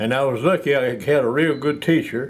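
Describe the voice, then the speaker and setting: With fairly even intonation, a man speaks at a moderate pace in a fairly high pitch. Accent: West Tennessee. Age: 90s. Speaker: retired piano tuner and music seller. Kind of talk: interview. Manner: halting.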